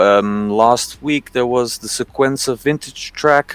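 This man has an ordinary speaking voice, pitched at a medium level with ordinary pitch variation. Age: 40s. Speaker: music video maker. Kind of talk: casual chat.

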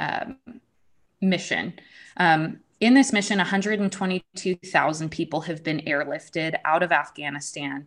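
In a very clean recording with a silent background, a woman speaks with an American accent at a moderate pace. Her pitch is fairly low, with ordinary variation. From United States. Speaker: policy writer and podcaster, military spouse. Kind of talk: interview conversation. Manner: hesitant, many filler words.

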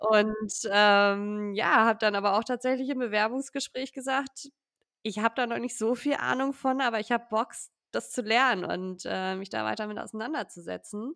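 With an unremarkable speaking voice, a woman talks at a moderate pace and fairly high pitch with ordinary pitch variation, in a dry, close sound with no echo. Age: 20s. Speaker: data analyst. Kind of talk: interview.

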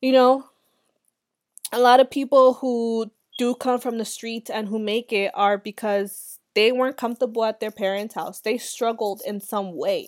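With an American accent, a woman speaks in a plain, everyday voice at a fairly high pitch and moderate pace, with ordinary pitch variation, in a dry, close sound with no echo on a very clean recording with a silent background. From Los Angeles. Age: 20s. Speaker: podcast host. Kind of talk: casual monologue. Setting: sitting outside. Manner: casual, conversational with fillers.

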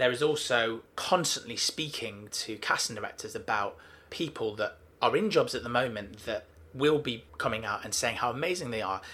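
The voice comes in a Mancunian accent with a bright, sharp tone, lively intonation and a moderate pace. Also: man, medium pitch for a man. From Manchester, England. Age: 30s. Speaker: talent agent. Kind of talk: casual interview. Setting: office.

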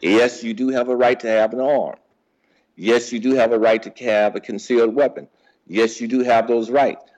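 An American-accented man with a plain, everyday voice, medium in pitch, fairly even in intonation, at a moderate pace. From St. Louis, Missouri. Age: 60s. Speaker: podcast guest, host's father. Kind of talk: casual interview.

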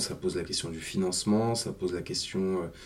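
A very deep, low-pitched male voice with fairly even intonation. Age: 50s. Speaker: energy company executive. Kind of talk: interview.

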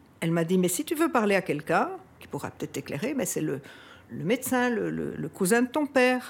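A woman talks at a fairly quick pace with vocal fry and a medium pitch. Her pitch swings very widely, and her loudness rises and falls a lot. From Belgium, Brussels. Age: 60s. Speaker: descendant of a historical figure. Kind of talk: interview testimony. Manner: halting, many hesitations.

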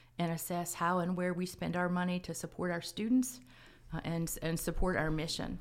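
Fairly quick and fairly low-pitched, a woman talks in a normal speaking voice. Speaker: college provost. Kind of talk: formal interview answers. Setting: campus radio studio. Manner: formal, measured.

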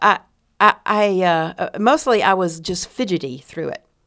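The recording is very clean with a silent background as a woman speaks with a Texan accent. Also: big swings in loudness. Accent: Texan Southern American. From US South, East Texas. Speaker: retired pastor and seminary president. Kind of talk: casual interview.

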